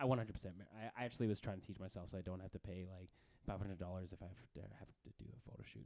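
A man's very deep, low voice with a dark, mellow tone and a Canadian accent, very fast, with ordinary pitch variation and big swings in loudness. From Canada. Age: 30s. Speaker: actor. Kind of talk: casual chat. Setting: live stream.

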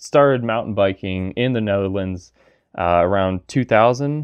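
Speaking at a fairly slow pace, a man uses lively intonation. He has an ordinary speaking voice. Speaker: gear reviewer. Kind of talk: interview.

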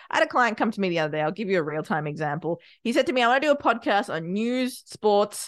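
With an Australian accent, a woman talks at a very fast pace. Her pitch swings very widely against a quiet background. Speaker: podcast producer and business owner. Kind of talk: interview.

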